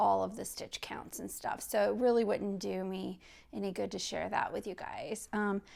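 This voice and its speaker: Relaxed in tone, a woman with a Midwestern accent speaks on a very clean recording with a silent background. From US Midwest. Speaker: knitting podcaster and designer. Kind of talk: casual video podcast. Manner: relaxed, unscripted with many fillers.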